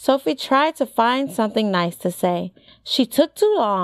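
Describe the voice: Lively intonation runs through this recording. It is plain reading aloud.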